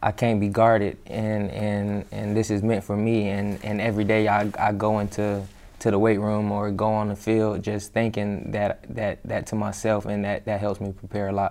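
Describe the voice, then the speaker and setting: With an American accent, a man talks at a moderate pace and a fairly low pitch in an ordinary speaking voice. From Florida. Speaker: professional football player. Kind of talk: interview.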